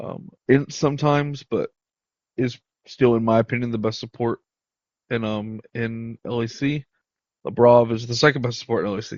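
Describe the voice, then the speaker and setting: A man talks at medium pitch and a moderate pace. His intonation stays monotone and flat. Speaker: esports content creator. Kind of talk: casual commentary video. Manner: hesitant, many fillers.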